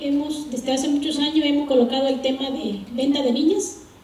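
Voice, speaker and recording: A woman with a high-pitched voice speaks in a room with audible echo and noticeable background noise. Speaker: civil society activist, audience member. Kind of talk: audience question at panel. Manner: halting, many fillers.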